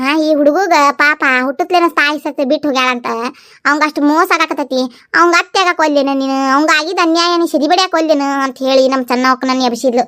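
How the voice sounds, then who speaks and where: Recorded very cleanly with a silent background and a dry, close sound with no echo, a woman uses a cartoonish character voice pitched high, speaking at a fairly quick pace with fairly even intonation. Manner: long-winded, dramatic.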